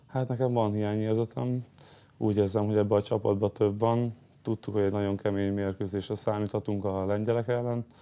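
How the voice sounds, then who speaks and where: In a fairly low, dark, mellow voice, a man talks at a fairly quick pace with monotone, flat intonation. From Hungary. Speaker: handball player; guest. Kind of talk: interview. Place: studio. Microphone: lapel.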